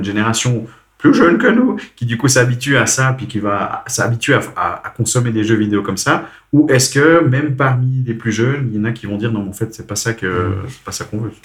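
A man's somewhat breathy voice at a fairly quick pace, with fairly even intonation. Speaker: podcast host. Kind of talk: casual chat. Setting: recording at host's home.

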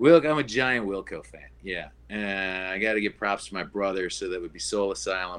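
With an Upper Midwest accent, a man talks fairly quickly at a fairly low pitch, his pitch varying in an ordinary way while his loudness swings widely. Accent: Upper Midwest American. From Minneapolis, Minnesota. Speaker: brewery co-founder. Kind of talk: casual interview.

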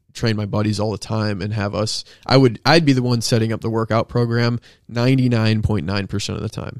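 A man's ordinary speaking voice at medium pitch, fairly even in intonation, at a moderate pace, with a dry, close sound and no echo. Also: very clean recording, silent background. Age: 20s. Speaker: fitness coach. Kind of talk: casual chat.

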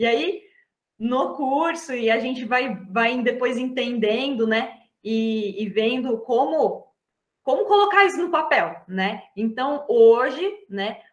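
A woman's high-pitched voice at a very slow pace with lively intonation. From São Paulo state, Brazil (Atibaia). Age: 30s. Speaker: embroidery artisan. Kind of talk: interview.

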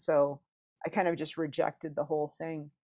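An unremarkable speaking voice from a woman with an American accent, fairly low pitch, fairly even intonation and a moderate pace, against a quiet background. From US Midwest. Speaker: author and near-death experiencer. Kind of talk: interview, personal testimony.

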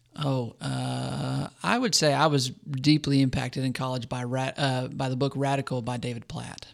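An American accent carried at a moderate pace, with hardly any pauses. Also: man. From Arizona. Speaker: campus minister. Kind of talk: casual interview.

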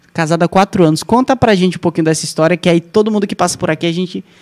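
A man with a high pitch and lively intonation is heard in a dry, close sound with no echo. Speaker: podcast host. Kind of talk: casual chat. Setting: studio.

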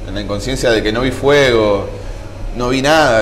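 A man with a Rioplatense accent, medium pitch, fairly even intonation and a moderate pace, in a room with audible echo and noticeable background noise. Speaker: survivor of a nightclub fire. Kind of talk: testimony.

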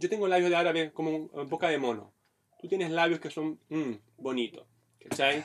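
Fairly quick male speech, fairly high in pitch, with ordinary pitch variation. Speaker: stand-up comedian. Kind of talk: casual chat. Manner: clipped, choppy delivery.

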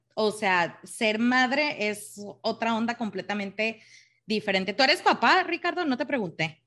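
Very wide pitch swings and a bright, sharp tone mark this fairly slow voice over a quiet background. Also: woman, fairly high pitch for a woman. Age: 30s. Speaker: mother, working professional. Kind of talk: casual chat.

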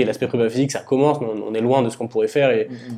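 Very fast speech from a man, dark and mellow in tone, medium pitch, fairly even intonation. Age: 20s. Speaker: podcast host and strength coach. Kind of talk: casual interview.

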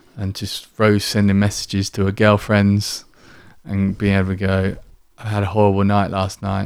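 The recording is very clean, with a silent background. A man with a fairly low pitch talks at a moderate pace in a monotone, flat intonation. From Kent, southern England. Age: 40s. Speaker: founder of a men's mental health charity. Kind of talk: casual interview chat. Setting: studio.

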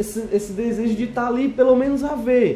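Delivered at a moderate speed, the voice carries audible echo from the room. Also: man. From Ceará, Brazil (Fortaleza). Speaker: amateur surfer. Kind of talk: casual chat.

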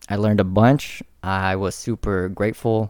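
Here a man talks at a fairly low pitch in a monotone, flat intonation. The recording is very clean, the background silent. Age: 20s. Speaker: military veteran. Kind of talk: casual chat. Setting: in person at host's house.

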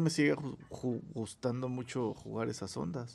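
Talking at a moderate pace, a man with a medium-pitched voice uses lively intonation and some vocal fry. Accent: Mexican. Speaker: podcast host. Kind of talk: casual chat. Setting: recording from home.

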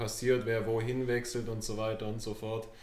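Audible room echo surrounds a man speaking at medium pitch with monotone, flat intonation. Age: 20s. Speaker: amateur footballer. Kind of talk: casual chat.

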